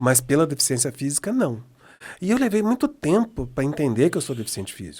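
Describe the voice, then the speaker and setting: In a very clean recording with a silent background, a man talks at a fairly quick pace with very wide pitch swings. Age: 60s. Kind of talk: interview conversation. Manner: halting with frequent repetitions.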